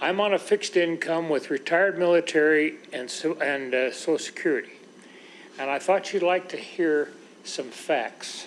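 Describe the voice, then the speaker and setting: His pitch is high, and it varies in an ordinary way. The man's pace is moderate. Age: 80s+. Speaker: retired military veteran speaking at public hearing. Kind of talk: public comment at board meeting.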